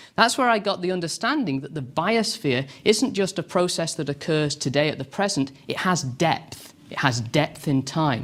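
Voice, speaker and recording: The voice carries a British accent and lively intonation. It moves at a moderate pace with hardly any pauses. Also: man, fairly high pitch for a man. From England (Derbyshire area). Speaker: professor. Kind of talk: lecture.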